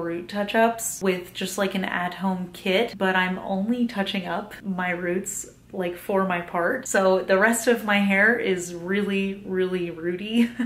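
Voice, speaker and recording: A woman at a fairly slow pace, with fairly even intonation and audible room echo. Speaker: vlogger. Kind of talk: casual vlog chat. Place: home room. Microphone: phone near.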